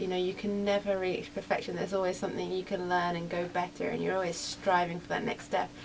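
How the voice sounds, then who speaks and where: Noticeable background noise runs under a woman's fairly low voice. Her intonation is monotone and flat. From England. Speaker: racing driver. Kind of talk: radio interview.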